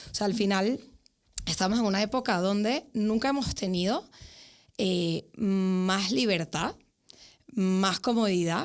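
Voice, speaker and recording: In a very clean recording with a silent background, a woman speaks very slowly at medium pitch with very even loudness and ordinary pitch variation. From Venezuela. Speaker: psychologist. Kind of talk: podcast interview. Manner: hesitant fillers, frequent ¿vale?.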